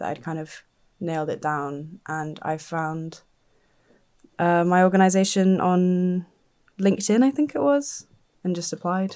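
A woman speaks at a moderate pace with a fairly low pitch and a dark, mellow tone. The recording is very clean, with a silent background. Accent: southern English. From southern England (Dorset). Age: 20s. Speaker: think tank researcher. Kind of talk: casual interview.

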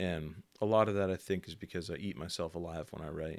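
There is a very clean recording with a silent background as a man speaks in a New England accent. He talks at a fairly quick pace with fairly even intonation. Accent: New England American. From New Bedford, Massachusetts. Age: 20s. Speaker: writer. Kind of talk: casual chat.

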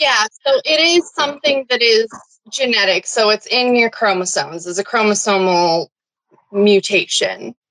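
A plain, everyday voice with lively intonation comes at a moderate pace in a dry, close sound with no echo. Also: woman, fairly high pitch for a woman. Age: 20s. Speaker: patient advocate with Marfan syndrome. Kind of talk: casual interview.

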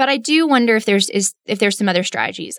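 A woman with a Texan accent at a very fast pace, on a very clean recording with a silent background and dry, close sound with no echo. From West Texas, Midland. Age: 30s. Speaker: city council candidate, licensed counselor. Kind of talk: interview. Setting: studio.

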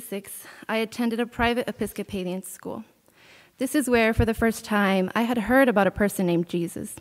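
A woman with an ordinary speaking voice talks fairly quickly in a fairly high pitch with ordinary pitch variation. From Texas, near the Mexico border. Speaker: college student. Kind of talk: testimony.

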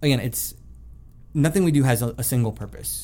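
With an American accent, a man speaks at a moderate pace on a very clean recording with a silent background. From US South, South Florida. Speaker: violist and festival co-director. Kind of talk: interview conversation.

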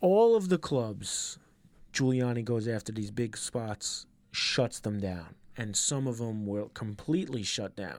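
With a New York accent, a man talks at a fairly slow pace in a medium pitch with ordinary variation, on a very clean recording with a silent background. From Queens, New York. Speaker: DJ. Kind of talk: casual chat.

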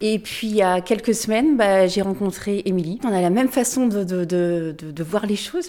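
A woman speaks at a medium pitch in a dark, mellow tone. Her pitch varies in an ordinary way. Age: 50s. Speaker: amateur runner. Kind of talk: interview testimony. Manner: halting, with repeated words and fillers.

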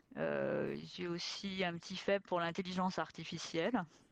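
A woman talks at a medium pitch. Her pace is very slow. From France, working-class neighbourhood. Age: 50s. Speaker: science fiction author. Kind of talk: long-form interview. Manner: unforced, comfortable speaking level.

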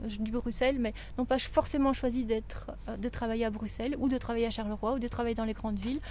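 Fairly even intonation from a high-pitched woman at a moderate pace. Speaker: workshop facilitator and podcast presenter. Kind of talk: workshop instructions and narration. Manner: directive, clear.

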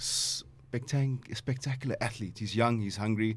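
Somewhat breathy, a man's voice comes through. His intonation stays fairly even. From South Africa, Pinetown (Durban area). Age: 40s. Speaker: mixed martial arts fighter. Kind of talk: casual interview.

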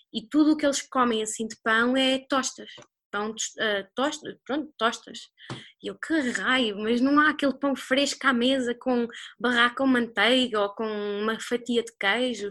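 Against a quiet background, a woman with a high pitch and a bright, sharp tone speaks at a fairly slow pace with fairly even intonation. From Portugal. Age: 20s. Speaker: copywriter living abroad. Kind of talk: casual interview chat.

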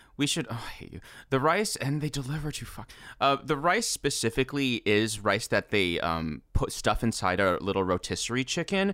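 Over a silent background in a very clean recording, this voice has a bright, sharp tone, very wide pitch swings and vocal fry. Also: man, medium pitch for a man, moderate pace. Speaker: dub script writer and voice actor. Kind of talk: casual chat.

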